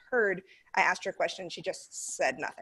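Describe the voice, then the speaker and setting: A woman with an American accent speaks in a plain, everyday voice at a medium pitch with ordinary pitch variation. The background is quiet. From North America. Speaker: online English teacher trainer. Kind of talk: training session.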